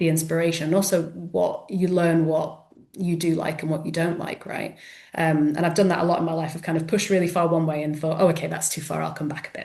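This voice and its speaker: Over noticeable background noise and audible room echo, a woman with a fairly low pitch speaks at a very fast pace in a monotone, flat way. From South Yorkshire, England, then Edinburgh from 14. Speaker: author. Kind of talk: interview.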